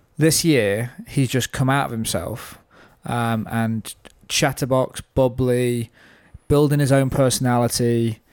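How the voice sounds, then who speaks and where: A man's ordinary speaking voice, medium in pitch, with fairly even intonation and a fairly slow pace, in a very clean recording with a silent background. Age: 30s. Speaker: podcast host. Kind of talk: casual chat.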